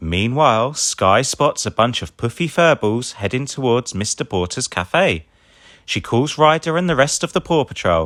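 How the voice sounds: This man talks at a moderate pace with a medium pitch and a fairly bright tone. His intonation is lively, and the recording is very clean with a silent background.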